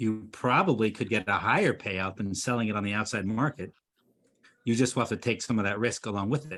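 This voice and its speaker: With an unremarkable speaking voice, a man speaks, his pitch varying in an ordinary way. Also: fairly low pitch for a man, fairly quick pace. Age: 50s. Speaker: business coach. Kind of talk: webinar Q&A.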